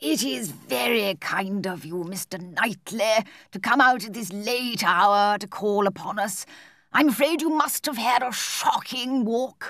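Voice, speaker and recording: In a put-on character voice, a woman at medium pitch speaks at a fairly slow pace with lively intonation and big swings in loudness, on a very clean recording with a silent background. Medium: read story. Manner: fretful, sighing.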